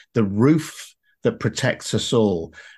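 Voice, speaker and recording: A man with a British accent speaks in very wide pitch swings. The background is quiet. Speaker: podcast host. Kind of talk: interview.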